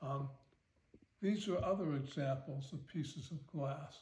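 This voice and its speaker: A man speaks in a somewhat breathy voice. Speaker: art collector. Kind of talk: casual talk to camera. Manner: hesitant, halting.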